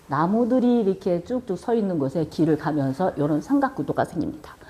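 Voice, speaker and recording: A woman speaks at a fairly quick pace in a medium pitch with very wide pitch swings. Noticeable background noise runs underneath. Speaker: video production instructor. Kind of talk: lecture.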